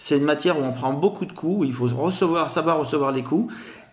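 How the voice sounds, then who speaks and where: There is audible room echo as a man with a slight Grenoble accent talks at a fairly quick pace with ordinary pitch variation. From France, Grenoble. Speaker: sales trainer, company founder. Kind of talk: interview. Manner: halting.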